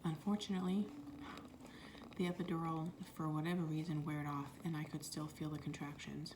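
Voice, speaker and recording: At a moderate pace, a woman talks in a fairly low pitch with fairly even intonation amid noticeable background noise. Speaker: mother of a newborn and an older son. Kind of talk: ASMR storytime, soft-spoken personal labor story. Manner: soft-spoken, emotional at times.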